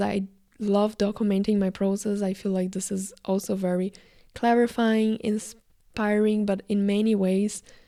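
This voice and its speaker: A woman with a Brazilian accent speaks at a fairly slow pace in a dark, mellow tone, her medium pitch held in a flat monotone. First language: Portuguese. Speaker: actor, filmmaker and video creator. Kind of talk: casual vlog monologue. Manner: casual, filler-heavy.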